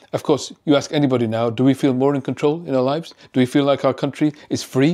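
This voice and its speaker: In a British accent, a man with a fairly high pitch and a dark, mellow tone talks very fast with fairly even intonation, on a very clean recording with a silent background. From UK. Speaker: psychiatrist. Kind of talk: educational commentary video.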